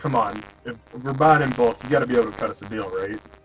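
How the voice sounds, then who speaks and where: Using a gruff put-on character voice, a man speaks at a very fast pace with a medium pitch. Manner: tough, bargaining.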